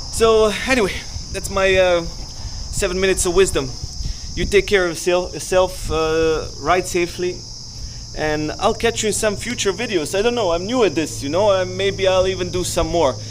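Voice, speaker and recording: A man speaks at a high pitch with ordinary pitch variation and a moderate pace. Noticeable background noise runs underneath. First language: not English. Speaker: motorcycle vlogger. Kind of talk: motovlog tutorial. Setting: outdoors at abandoned racetrack. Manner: casual, hesitant with fillers.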